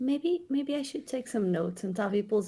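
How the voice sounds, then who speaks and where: A woman speaks with a non-native accent at a moderate pace. Her pitch swings very widely. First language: not English. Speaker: tabletop role-playing game player. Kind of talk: casual chat.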